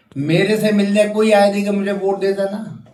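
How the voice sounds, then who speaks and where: Audible room echo surrounds the voice, along with noticeable background noise. The speaker is a man. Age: 80s+. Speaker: retired army officer and former legislator. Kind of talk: interview.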